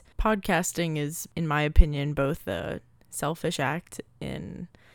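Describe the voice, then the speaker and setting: On a very clean recording with a silent background, a woman speaks in an American accent at a very deep, low pitch. Vocal fry runs through her voice, with ordinary pitch variation. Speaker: podcast host. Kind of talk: casual solo monologue.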